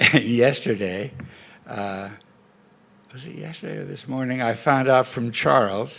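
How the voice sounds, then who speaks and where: A man with an American accent speaks at a fairly slow pace, his medium-pitched voice showing vocal fry and ordinary pitch variation. His loudness swings widely, long pauses come often, and room echo is audible. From US, Montana. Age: 80s+. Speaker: scientist, award honoree. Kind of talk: award acceptance speech. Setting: stage with audience.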